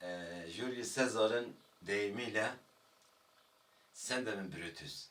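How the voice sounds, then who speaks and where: Very slowly, a man with a Kurdish accent speaks in a fairly low, bright, sharp voice with ordinary pitch variation. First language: Kurdish (speaking Turkish). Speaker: Kurdish language teacher. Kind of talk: video lecture. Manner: hesitant, with filler sounds.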